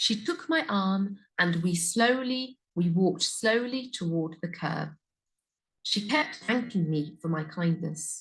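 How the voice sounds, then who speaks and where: Speaking at a very slow pace, a woman sounds somewhat breathy. Her medium pitch swings very widely. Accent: British. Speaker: English pronunciation teacher. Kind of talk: story reading for learners. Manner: slow, clear.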